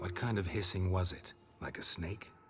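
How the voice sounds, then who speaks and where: Over clear background noise, a man does a put-on character voice in a very deep, low pitch at a moderate pace. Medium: short film. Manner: terse, low, deadpan.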